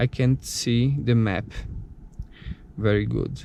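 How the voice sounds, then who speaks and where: A Brazilian Portuguese accent at a very slow pace, with noticeable background noise. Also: man. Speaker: car product reviewer. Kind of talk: tutorial. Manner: halting.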